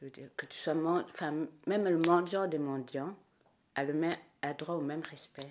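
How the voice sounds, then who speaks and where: A woman's fairly low voice moves at a moderate pace with ordinary pitch variation. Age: 60s. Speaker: Burundian diaspora member, theatre enthusiast. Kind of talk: interview.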